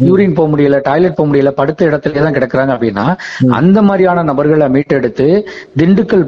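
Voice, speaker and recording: A man speaks at a fairly high pitch with ordinary pitch variation, and there is noticeable background noise. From Tenkasi, Tamil Nadu. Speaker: social worker. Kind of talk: interview. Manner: conversational.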